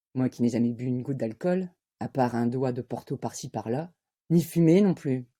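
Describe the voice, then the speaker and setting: In a very clean recording with a silent background, a woman uses a husky put-on character voice at a moderate pace with lively intonation. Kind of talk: stage monologue. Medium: voice reel.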